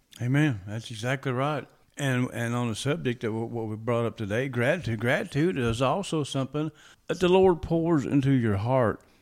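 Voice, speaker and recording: Speaking at a moderate pace, a man with an ordinary speaking voice and medium pitch uses lively intonation. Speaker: co-host and prayer leader. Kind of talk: casual religious talk and prayer.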